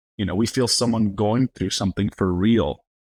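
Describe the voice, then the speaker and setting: A man with an American accent uses an ordinary speaking voice at a medium pitch and moderate pace. His pitch variation is ordinary, and the sound is dry and close with no echo. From Los Angeles, Highland Park. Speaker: entertainment company president and actor. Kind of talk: casual interview chat.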